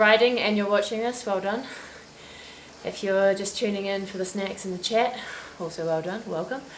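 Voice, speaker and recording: Over noticeable background noise and audible room echo, a woman with a New Zealand accent talks at a moderate pace with fairly even intonation. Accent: Kiwi. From New Zealand, Christchurch. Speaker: cycling livestream host. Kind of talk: casual chat. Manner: chatty.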